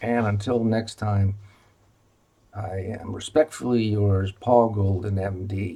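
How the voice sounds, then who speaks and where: A man's very slow, somewhat breathy speech, fairly low in pitch and fairly even in intonation, with a dark, mellow tone. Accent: American. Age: 70s. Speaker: retired physician. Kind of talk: informational video presentation. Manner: halting with many fillers.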